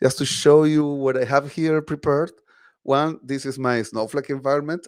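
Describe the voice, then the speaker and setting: Speaking in a Spanish accent at a fairly slow pace, a man uses a fairly high pitch and a monotone, flat intonation. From Chile. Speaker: tech advocate presenter. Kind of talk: tech talk presentation. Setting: online video meetup.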